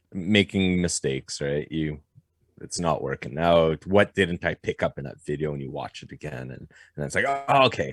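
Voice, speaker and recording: With a dry, close sound and no echo, a man with a very deep, low voice uses lively intonation and big swings in loudness. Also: moderate pace. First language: French. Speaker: blacksmith and knife maker. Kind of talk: podcast interview. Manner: halting.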